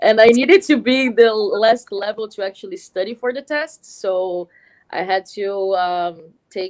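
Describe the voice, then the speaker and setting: Ordinary pitch variation marks this moderate-paced speech in a Portuguese accent. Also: woman. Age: 30s. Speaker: film editor. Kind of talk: interview. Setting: live stream at a school. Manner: halting, many fillers.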